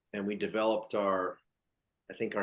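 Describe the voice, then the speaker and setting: Speaking with an American accent, a man with a normal speaking voice talks at a moderate pace in a fairly low pitch with fairly even intonation. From California. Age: 50s. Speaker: former pro baseball player. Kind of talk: interview.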